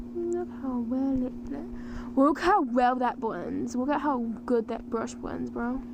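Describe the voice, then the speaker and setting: A woman speaks at a very slow pace, with noticeable background noise and audible room echo. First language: Ukrainian. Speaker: vtuber artist streamer. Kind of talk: casual livestream chat while drawing.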